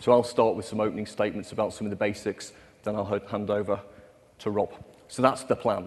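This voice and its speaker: A man with a British accent talks very fast. His fairly low pitch stays monotone and flat. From UK. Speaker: developer relations presenter. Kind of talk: conference technical presentation. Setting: stage with audience.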